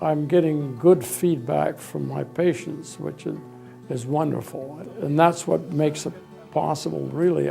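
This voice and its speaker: His pitch swings very widely around a medium level as the man speaks at a fairly slow pace. Music plays in the background. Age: 80s+. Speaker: retired construction businessman, hospital volunteer. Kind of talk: interview answer.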